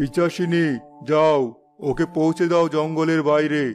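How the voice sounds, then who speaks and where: A man performs a cartoonish character voice at a fairly high pitch. He goes at a fairly slow pace while faint music plays in the background. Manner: authoritative.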